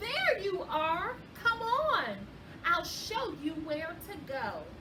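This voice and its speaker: Putting on a character voice at an extremely high pitch, a woman speaks very slowly over clear background noise. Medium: read story. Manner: gushing, brisk.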